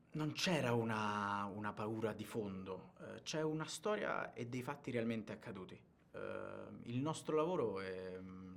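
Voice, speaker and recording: In a room with audible echo, a man speaks at a fairly low pitch and a fairly slow pace. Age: 20s. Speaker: actor. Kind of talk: interview. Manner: halting, many fillers and repetitions.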